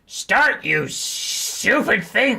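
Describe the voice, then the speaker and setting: In a put-on character voice, a man sounds raspy at an extremely high pitch. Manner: comedic, exasperated at the stream.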